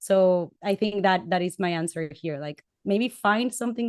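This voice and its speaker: Here a woman speaks with a Latin American accent. Her pitch is medium, with ordinary variation. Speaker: panelist. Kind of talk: panel discussion. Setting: webcast.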